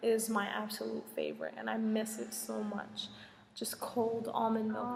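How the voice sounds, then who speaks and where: With an American accent, a woman talks at a fairly high pitch amid audible room echo. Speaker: Peace Corps volunteer vlogger. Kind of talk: casual vlog Q&A. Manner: slow.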